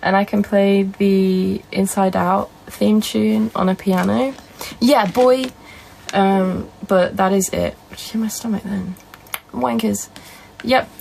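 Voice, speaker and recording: Soft-spoken and very slow, a woman talks at medium pitch with ordinary pitch variation and big swings in loudness, over noticeable background noise. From northern England. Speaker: live streamer. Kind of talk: casual chat.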